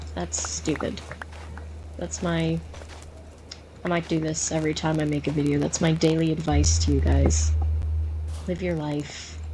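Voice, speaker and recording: A woman speaks at a moderate pace with long, frequent pauses, amid audible room echo and noticeable background noise. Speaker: gaming YouTuber. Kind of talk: casual gaming commentary. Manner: varies between quiet and loud.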